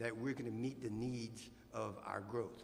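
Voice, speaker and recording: A man with a South Louisiana accent at a medium pitch and moderate pace, against noticeable background noise. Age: 60s. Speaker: city council candidate, former mayor. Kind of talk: candidate forum answer.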